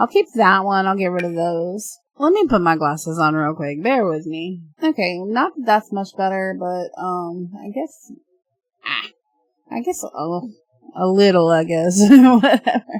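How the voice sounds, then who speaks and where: Music plays in the background as a woman speaks at a fairly slow pace and medium pitch with lively intonation. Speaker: gaming YouTuber. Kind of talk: let's play commentary. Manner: casual, hesitant with fillers.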